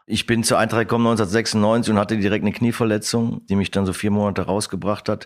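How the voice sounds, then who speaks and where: Very fast and delivered in a monotone, flat intonation, a man's voice comes through a very clean recording with a silent background. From Germany, Lower Rhine (Krefeld). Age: 50s. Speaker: football coach. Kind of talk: interview.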